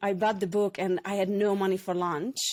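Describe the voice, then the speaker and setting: Someone with a Hungarian accent speaks at a moderate pace on a very clean recording with a silent background. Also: woman. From Hungary. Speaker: former hairdresser and personal development facilitator. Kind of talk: podcast interview, personal story.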